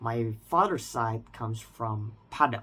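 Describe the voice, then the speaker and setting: In an Indonesian accent, a man speaks at a medium pitch and a fairly slow pace. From Indonesia, central Jakarta. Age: 20s. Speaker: language learner vlogger. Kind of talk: personal reflection monologue. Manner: unscripted, with some hesitation.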